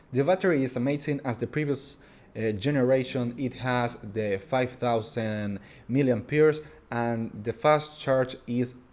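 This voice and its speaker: Speaking in a Spanish accent, the voice keeps a fairly slow pace with ordinary pitch variation. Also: man, medium pitch for a man. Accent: Spanish-accented English, noticeable. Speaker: tech reviewer. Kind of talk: product review. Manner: halting.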